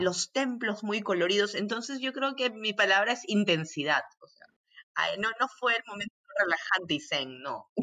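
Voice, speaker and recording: A woman speaks in a bright, sharp tone with lively intonation. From Peru, Arequipa. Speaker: physician, humanitarian aid worker. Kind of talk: interview. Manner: halting, frequent repetitions.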